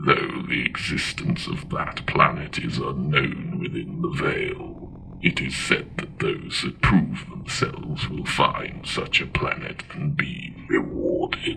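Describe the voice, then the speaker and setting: A man's put-on character voice at a fairly slow pace, hardly any pauses, and clear background noise. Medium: audio drama.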